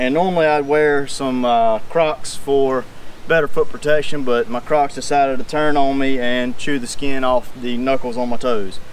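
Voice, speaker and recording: The sound is dry with no echo as a man talks at a moderate pace over light background noise. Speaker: DIY welding channel host. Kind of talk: casual vlog chat. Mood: hot, sweaty, good-humoured. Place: garden. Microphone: camera far.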